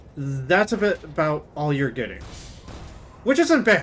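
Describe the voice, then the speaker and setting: A man speaks loudly at a high pitch. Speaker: video game streamer. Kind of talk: live gameplay commentary. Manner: halting, many restarts.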